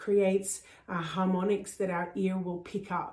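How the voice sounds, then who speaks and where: In an Australian accent, a woman talks at medium pitch. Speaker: voice coach. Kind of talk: tutorial. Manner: animated.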